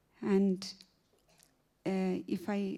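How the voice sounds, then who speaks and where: A woman speaks with a Keralan accent at a medium pitch. Her tone is dark and mellow, and her voice is somewhat breathy. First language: Malayalam. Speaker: novelist. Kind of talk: literary festival conversation. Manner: halting, many fillers.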